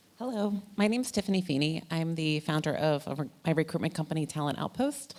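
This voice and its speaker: A woman with an American accent talks at a fairly quick clip, her fairly low voice rising and falling in lively intonation over noticeable background noise. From United States. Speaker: animation recruiter, panelist. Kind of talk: panel discussion.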